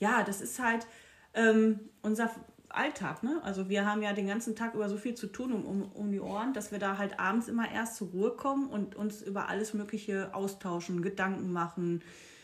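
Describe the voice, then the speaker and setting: The speech has a slight Ruhr accent at a moderate pace. Noticeable background noise sits behind it. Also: woman, medium pitch for a woman, ordinary pitch variation. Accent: slight Ruhrpott dialect slipping through. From Ruhr area, Castrop-Rauxel. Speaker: podcast co-host. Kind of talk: casual chat. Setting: at home. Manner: animated, frequent laughing.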